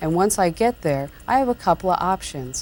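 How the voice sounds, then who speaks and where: Soft-spoken and calm, a woman talks at a moderate pace and medium pitch with lively intonation. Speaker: computer tutor, columnist and radio talk show host. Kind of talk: software tutorial narration. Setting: 1994 VHS tape recording. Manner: calm, softly-spoken.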